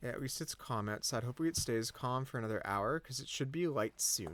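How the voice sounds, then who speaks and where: This man has an unremarkable speaking voice, pitched in the medium range and moving at a moderate pace. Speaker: gaming video creator. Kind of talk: gameplay commentary.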